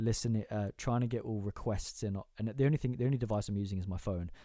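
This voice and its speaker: A man with a British accent talks at a very fast pace and medium pitch in a dark, mellow tone, his intonation fairly even. The recording is very clean, with a silent background. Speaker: live-stream music show host. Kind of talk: casual live-stream chat. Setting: home bedroom. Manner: stuttering, many fillers.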